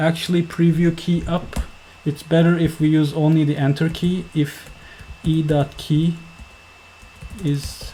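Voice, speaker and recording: The speaker has a non-native accent and talks at a fairly slow pace. Long, frequent pauses come through over noticeable background noise. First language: not English. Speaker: software developer, tutorial maker. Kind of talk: tutorial. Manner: halting.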